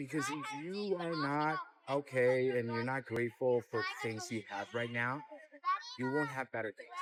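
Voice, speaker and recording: Background noise is noticeable throughout. The speaker moves at a moderate pace with ordinary pitch variation. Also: man, medium pitch for a man. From Venezuela. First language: Spanish. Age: 30s. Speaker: fitness enthusiast. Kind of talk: casual chat.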